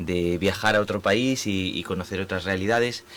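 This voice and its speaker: This man talks at a moderate pace in a fairly low pitch. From Spain. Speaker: urban planning professor. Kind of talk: radio interview. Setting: radio studio. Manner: halting, many fillers.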